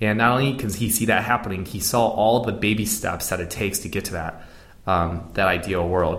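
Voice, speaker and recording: This man has an unremarkable speaking voice with a fairly low pitch and ordinary pitch variation. He talks at a fairly quick pace. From US (moved from Beijing at nine). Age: 30s. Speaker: product manager, digital nomad. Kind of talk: interview. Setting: in Prague.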